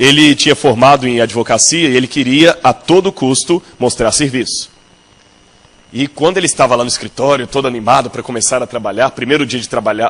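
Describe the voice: Fairly quick speech from a man at medium pitch with ordinary pitch variation, over noticeable background noise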